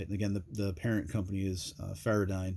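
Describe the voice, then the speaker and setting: The man's voice is somewhat breathy. He speaks fairly quickly. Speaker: gear reviewer. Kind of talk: product review. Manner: casual with many fillers.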